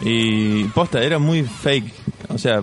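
With his medium pitch shifting in an ordinary way, a man talks over noticeable background noise. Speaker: podcast co-host. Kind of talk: casual chat.

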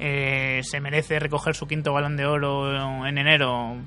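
A man speaks in a fairly high voice. His intonation stays flat and monotone. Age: 30s. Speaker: football blogger. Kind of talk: round-table debate. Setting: restaurant.

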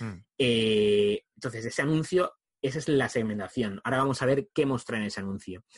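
In a normal speaking voice, a man of medium pitch talks at a fairly quick pace with ordinary pitch variation, the sound dry and close with no echo. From Spain. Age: 40s. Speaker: video marketing trainer. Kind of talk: interview.

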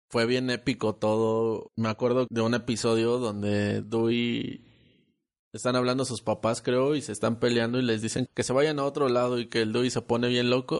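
Over a quiet background, a man talks at a fairly slow pace in a medium pitch with monotone, flat intonation. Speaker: podcast host. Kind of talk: casual chat.

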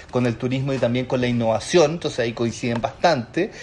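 Over noticeable background noise, a man at a medium pitch talks fairly quickly in a monotone, flat intonation. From Chile, Chiloé. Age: 30s. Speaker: business consultant and entrepreneur. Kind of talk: casual interview.

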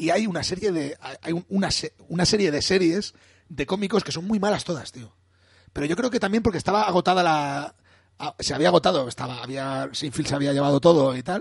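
At a fairly quick pace, a man with a high pitch speaks with lively intonation. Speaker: podcast co-host. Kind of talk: casual chat.

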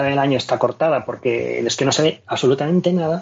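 With an Andalusian accent, a man speaks at a fairly quick pace with lively intonation. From Andalusia, Spain. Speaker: radio motoring show contributor. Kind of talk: radio opinion chat. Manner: animated.

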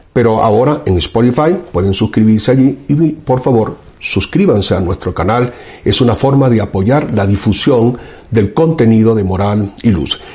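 A man with a somewhat breathy, dark, mellow voice speaks at a medium pitch and moderate pace, with lively intonation and very even loudness. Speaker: professor and show host. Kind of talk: political commentary monologue.

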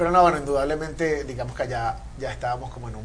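Noticeable background noise and audible room echo surround the man speaking. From Venezuela. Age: 30s. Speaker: funk guitarist. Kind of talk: casual interview chat.

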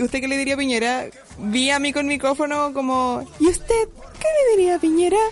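Over noticeable background noise, a woman with a high pitch talks at a fairly quick pace with lively intonation. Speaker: podcast co-host. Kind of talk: casual chat.

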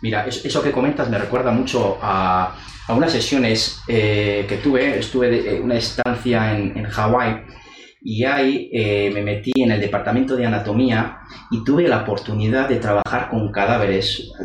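A man's medium-pitched voice at a moderate pace, with fairly even intonation, audible room echo and noticeable background noise. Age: 40s. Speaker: university lecturer and interviewer. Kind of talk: interview.

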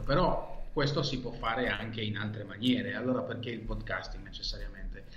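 Room echo can be heard as a man talks. There is also noticeable background noise. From Israel. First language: Hebrew (speaking Italian). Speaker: podcaster. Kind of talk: interview conversation.

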